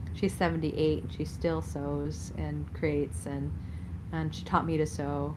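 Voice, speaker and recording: Audible room echo around a woman talking fairly slowly. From US suburbs, Sicilian immigrant family. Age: 50s. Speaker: spiritual teacher and scholar. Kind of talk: interview conversation. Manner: casual, filler-heavy.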